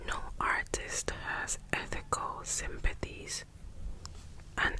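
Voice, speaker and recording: Noticeable background noise surrounds a whisper delivered at a very slow pace. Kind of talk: soft whispered book reading, ASMR. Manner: whispered, soft-spoken.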